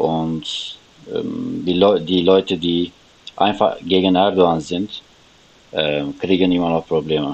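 A man with a Turkish accent talks very slowly in a very deep, low voice, with fairly even intonation. He leaves long, frequent pauses, and there is noticeable background noise. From Turkey, Istanbul. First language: Turkish (speaking German). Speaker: refugee guest. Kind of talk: interview. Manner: halting.

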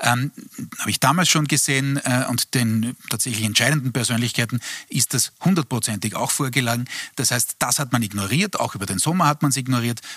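A man's medium-pitched voice, bright and sharp in tone, fairly quick, with ordinary pitch variation and a dry, close sound with no echo. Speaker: political analyst. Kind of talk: TV panel discussion.

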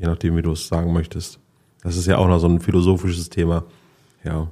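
A man with a very deep, low pitch is captured on a very clean recording with a silent background. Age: 40s. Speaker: podcast host. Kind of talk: casual chat. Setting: on location in a harbour.

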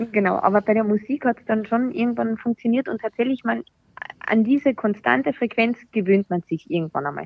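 A woman with an ordinary speaking voice talks at a fairly quick pace and a fairly high pitch with lively intonation. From Austria. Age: 30s. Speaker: breast cancer survivor. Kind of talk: casual chat.

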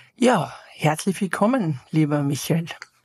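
With a dry, close sound and no echo, a woman speaks at a low pitch in a raspy, slightly mellow voice that has a slightly husky edge.

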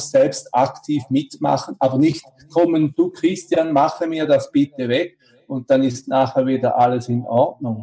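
Rather slow speech from a man, a little breathy. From Switzerland. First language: Swiss German (speaking German). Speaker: congress interviewer. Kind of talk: interview. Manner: halting, many fillers.

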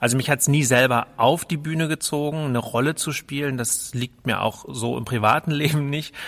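A man speaks with a slight northern German accent. His tone is bright and sharp. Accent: slight northern German tinge. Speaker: cultural centre director. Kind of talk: casual chat.

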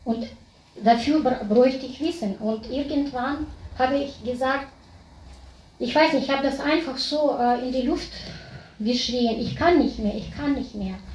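High-pitched and at a fairly slow pace, a woman speaks with ordinary pitch variation and long, frequent pauses. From Kazakhstan. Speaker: audience member, former doctor. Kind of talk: personal testimony.

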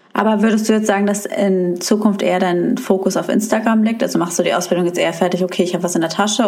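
Noticeable background noise and audible room echo accompany a woman speaking very fast with fairly even intonation. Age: 20s. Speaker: podcast host. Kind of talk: casual chat.

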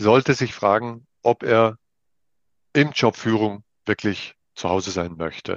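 Speaking at an average speed, a man lets his pitch rise and fall in an ordinary way. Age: 50s. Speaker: leadership trainer, business owner. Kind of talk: interview. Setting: video call.

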